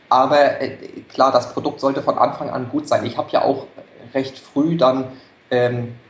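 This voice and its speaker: Noticeable background noise runs under this recording. A man speaks at a medium pitch and a moderate pace. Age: 30s. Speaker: entrepreneur with side business. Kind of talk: interview.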